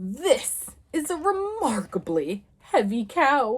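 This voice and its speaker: A woman puts on a character voice, high in pitch with very wide pitch swings. She speaks at a very slow pace. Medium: read story. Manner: grand, pompous.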